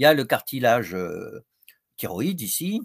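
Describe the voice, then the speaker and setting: The recording is very clean, with a silent background. A man speaks in it with lively intonation. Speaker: professor and psychiatrist. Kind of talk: lecture. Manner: hesitant, many fillers.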